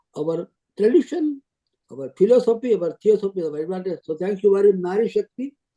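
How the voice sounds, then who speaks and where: High male voice carrying a dark, mellow tone. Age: 80s+. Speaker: publisher and columnist. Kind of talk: closing remarks on video call. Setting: video call.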